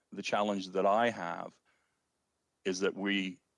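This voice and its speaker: A man with an Ontario accent speaks at a moderate pace. His pitch is fairly low, and his intonation is fairly even. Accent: Canadian (Ontario). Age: 60s. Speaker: city councillor. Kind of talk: council meeting debate.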